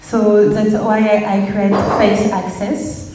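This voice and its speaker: Speaking very slowly in a French accent, a woman with a fairly high pitch is heard over noticeable background noise and audible room echo. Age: 20s. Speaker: designer and artist. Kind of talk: presentation. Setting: stage with audience. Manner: halting.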